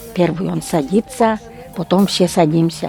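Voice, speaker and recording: A woman speaks at a fairly slow pace. Her pitch is fairly low, and music plays in the background. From Udmurt village, Udmurtia, Russia. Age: old. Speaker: village resident. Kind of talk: ethnographic interview, recollections.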